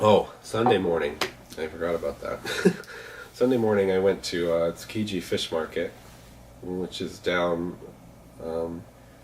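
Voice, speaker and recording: Pausing long and often, a man talks at a fairly slow pace in a very deep, low pitch with fairly even intonation. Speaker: travel vlogger. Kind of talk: casual talk to camera. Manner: rambling.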